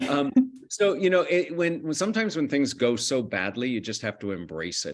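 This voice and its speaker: This is a plain, everyday voice with an American accent and lively intonation. The pace is fairly quick. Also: man. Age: middle-aged. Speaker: communication lecturer. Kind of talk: interview.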